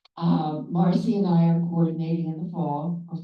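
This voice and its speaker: A woman's voice sits fairly low in pitch, with a dark, mellow tone. Her intonation stays fairly even, and audible room echo surrounds it. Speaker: study group coordinator, former teacher. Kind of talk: short presentation at a meeting. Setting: annual meeting with audience. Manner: loud.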